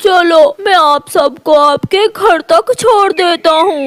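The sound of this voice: An extremely high-pitched cartoonish character voice at a fairly slow pace.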